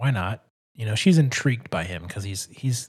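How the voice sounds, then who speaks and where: A man with a medium pitch speaks at a moderate pace, his voice somewhat breathy. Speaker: podcast host. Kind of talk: casual chat.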